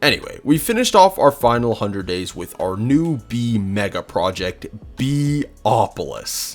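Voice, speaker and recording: Music plays behind a man speaking at a medium pitch. He talks fairly slowly, and his pitch swings very widely. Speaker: gaming youtuber. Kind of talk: gameplay commentary narration. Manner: halting; casual.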